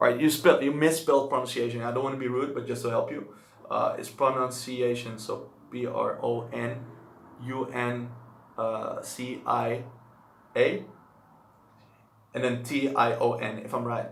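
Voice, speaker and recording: Noticeable background noise and audible room echo surround a man with a Dutch accent. He keeps a moderate pace but takes long, frequent pauses. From Netherlands. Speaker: language-learning streamer. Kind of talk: live stream chat. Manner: casual.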